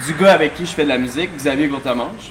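A man's fairly high voice with a Quebec accent and lively intonation, against noticeable background noise. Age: young. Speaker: bartender and DJ. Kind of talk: casual interview before live audience. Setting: bar with live audience.

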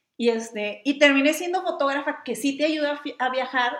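An animated tone with ordinary pitch variation at a moderate pace. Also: woman. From Mexicali, Baja California, Mexico. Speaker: travel blogger and photographer. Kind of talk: casual chat.

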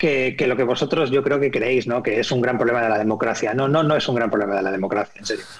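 Very fast and with hardly any pauses, a man at medium pitch speaks with very even loudness and ordinary pitch variation, over noticeable background noise. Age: 40s. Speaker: TV screenwriter and director. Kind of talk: interview.

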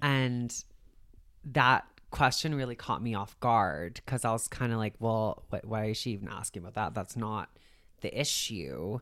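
Someone talks at a moderate pace in a Canadian accent. The recording is very clean, with a silent background. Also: woman, very deep, low pitch for a woman. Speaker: recovery advocate and hair stylist. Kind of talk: casual interview, personal story.

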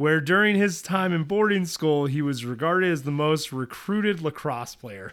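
A man with a plain, everyday voice speaks at a fairly high pitch and moderate pace with lively intonation, in a very clean recording with a silent background. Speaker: podcast host. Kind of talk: casual chat, reading notes aloud.

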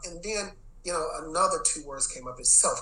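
With an American accent, a man speaks at a moderate pace over noticeable background noise, and audible room echo surrounds his voice. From Texas, Dallas. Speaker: education executive and former principal. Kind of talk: interview. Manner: casual, filler-heavy.

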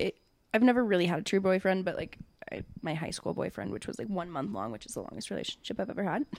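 This woman talks at a very fast pace. Her loudness swings widely. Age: 20s. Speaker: podcast co-host and daycare worker. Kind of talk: casual chat.

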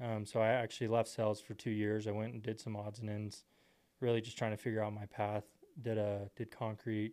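A man with an American accent talks at a fairly quick pace in a fairly low pitch. His tone is dark and mellow, his intonation monotone and flat. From Texas, Temple. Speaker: door-to-door salesman. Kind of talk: casual interview.

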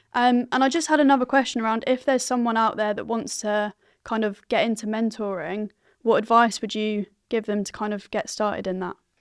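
In a very clean recording with a silent background, a woman with a plain, everyday voice talks fairly quickly at a fairly high pitch, with ordinary pitch variation. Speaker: podcast host. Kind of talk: casual interview.

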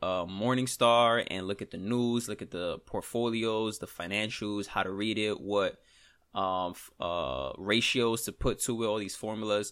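A man with a New York accent speaks at a fairly slow pace in a fairly low pitch, his bright, sharp tone carried on fairly even intonation with hardly any pauses, in a very clean recording over a silent background. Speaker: trader and podcaster. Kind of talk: solo podcast, casual talk. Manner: casual, conversational, venting.

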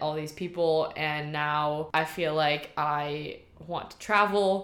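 The voice shows ordinary pitch variation, with audible room echo. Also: woman. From Shanghai, China (German-Chinese family). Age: 20s. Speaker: university student and rugby player. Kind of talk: casual interview chat.

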